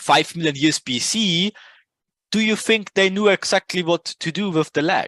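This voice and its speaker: A man speaks in an animated tone with a non-native accent. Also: dry, close sound with no echo. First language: not English. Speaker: trading educator. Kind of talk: casual tutorial talk. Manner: halting.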